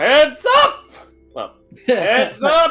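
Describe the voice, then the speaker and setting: A put-on character voice performs over faint music in the background. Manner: yelling.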